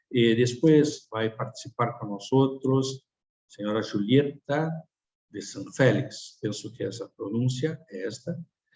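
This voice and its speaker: Speaking at a very slow pace, a man with a medium pitch sounds somewhat breathy, with ordinary pitch variation and big swings in loudness. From Tucumán, Argentina. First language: Spanish (speaking Portuguese). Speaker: speaker at a webinar. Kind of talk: webinar presentation. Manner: halting, with many fillers.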